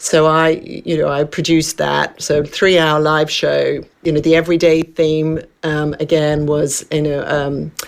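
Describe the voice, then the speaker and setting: Slow-paced and monotone, a woman with an Australian accent speaks in a very deep, low pitch. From Western Australia, Perth. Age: 60s. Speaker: wellness coach, former journalist and TV producer. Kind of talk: radio interview.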